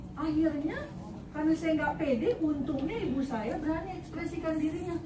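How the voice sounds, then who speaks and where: At an extremely high pitch, a woman speaks at a fairly quick pace in an animated tone, with ordinary pitch variation, very even loudness and audible room echo. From Indonesia, South Sulawesi (Bugis) then Jakarta from age six. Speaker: workshop trainer. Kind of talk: workshop talk. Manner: animated, interactive.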